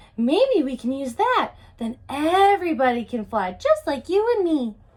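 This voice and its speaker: A woman performs a put-on character voice at a high pitch. Her pitch swings very widely at a moderate pace. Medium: read story. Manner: eager, cheerful.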